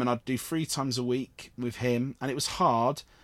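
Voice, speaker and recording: On a very clean recording with a silent background, a man with a Cornish accent speaks at a moderate pace with a medium pitch. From Cornwall. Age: 30s. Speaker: actor and theatre producer. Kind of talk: casual interview chat.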